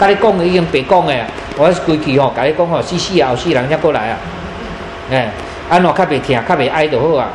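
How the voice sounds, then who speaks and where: Talking at a very fast pace with long, frequent pauses, a man has a Taiwanese accent, a fairly high pitch and ordinary pitch variation. Room echo is audible, and background noise is noticeable. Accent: Taiwanese Hokkien-accented Mandarin. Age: 80s+. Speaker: moral teacher. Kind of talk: lecture. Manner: rambling, halting with fillers.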